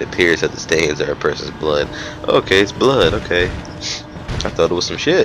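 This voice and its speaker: Fairly quick speech from a man, broken by long, frequent pauses, over noticeable background noise. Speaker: gamer. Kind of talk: gameplay commentary, casual and profane. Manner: excitable, swears a lot.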